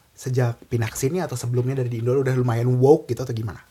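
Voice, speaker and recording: Soft-spoken and somewhat breathy, a man talks at a medium pitch with a dark, mellow tone. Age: young. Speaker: podcast host. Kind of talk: casual chat. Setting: in person.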